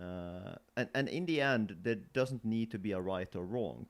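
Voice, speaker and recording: The speaker is male, with a non-native accent. He talks neither fast nor slow. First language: not English. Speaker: co-host discussing artwork. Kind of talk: casual conversation about artwork.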